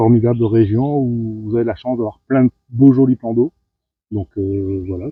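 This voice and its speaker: Fairly slow and fairly even in intonation, a man speaks at medium pitch. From northern France, Lille area. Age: 50s. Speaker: carp angler, competitor. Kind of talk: interview. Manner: hesitant, many fillers.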